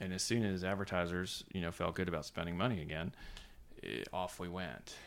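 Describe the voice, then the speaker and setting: A man with a very deep, low pitch and a bright, sharp tone speaks at a fairly quick pace on a very clean recording with a silent background. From US South, Savannah, Georgia. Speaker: magazine editor. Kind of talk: casual interview chat. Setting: office.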